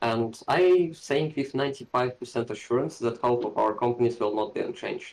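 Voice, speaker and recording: A man's medium-pitched voice with a non-native accent, fairly quick, with ordinary pitch variation. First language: not English. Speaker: wargame player. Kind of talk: casual game discussion.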